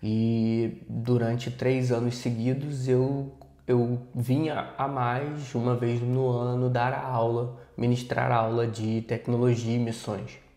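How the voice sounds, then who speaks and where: A man with a dark, mellow tone and medium pitch speaks at a very slow pace, with audible room echo. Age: 30s. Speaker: missions teacher and project manager. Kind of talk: podcast interview.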